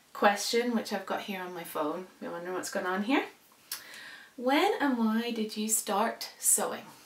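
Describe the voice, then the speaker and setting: A woman with a fairly high pitch speaks at a moderate pace, with ordinary pitch variation. Noticeable background noise and audible room echo are present. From Indonesia (international school), later Northern Ireland. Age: 30s. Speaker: sewing vlogger. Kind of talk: casual vlog talk. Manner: hesitant, many fillers.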